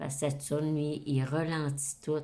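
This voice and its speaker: Very deep, low pitch from a woman, dark and mellow in tone. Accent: Quebec. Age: 60s. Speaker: astrology YouTuber. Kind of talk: casual monologue to camera. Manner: hesitant, many fillers.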